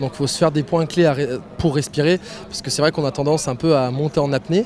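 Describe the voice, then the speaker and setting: A man is speaking at a very fast pace. His pitch sits fairly high. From eastern France, Ain. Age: 20s. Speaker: racing driver. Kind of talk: interview. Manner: hesitant, many fillers.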